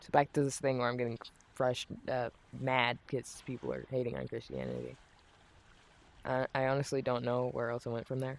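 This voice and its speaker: A man's fairly quick, monotone, flat delivery broken by long, frequent pauses. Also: medium pitch for a man. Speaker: gaming streamer. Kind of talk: casual chat. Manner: halting.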